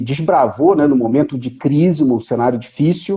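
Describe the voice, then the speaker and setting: At a moderate pace, a normal speaking voice comes through with ordinary pitch variation. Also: man. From Brazil, Rio de Janeiro. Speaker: economist, professor. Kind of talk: live stream conversation.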